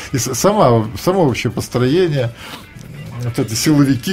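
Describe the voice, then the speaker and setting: Faint background music under a man speaking. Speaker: radio host. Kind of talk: radio interview questions. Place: studio.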